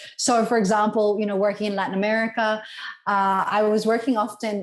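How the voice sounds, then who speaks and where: A woman with an Australian accent talks at a medium pitch. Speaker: conservation lobbyist. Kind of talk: interview conversation.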